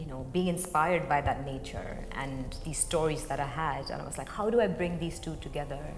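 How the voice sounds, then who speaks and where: A woman with a Marathi accent and a very deep, low pitch talks at a moderate pace amid noticeable background noise and audible room echo. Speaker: contemporary dancer. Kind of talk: interview talk.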